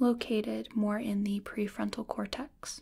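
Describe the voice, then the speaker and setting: A soft-spoken, somewhat breathy woman at a very slow pace. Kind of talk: soft-spoken explanatory role-play. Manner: soft-spoken ASMR explaining voice.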